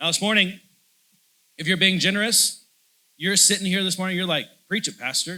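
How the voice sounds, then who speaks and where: A man's high-pitched, raised, projected voice with a bright, sharp tone on a very clean recording with a silent background. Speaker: pastor. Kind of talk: sermon. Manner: loud, passionate; hesitant fillers and repetitions.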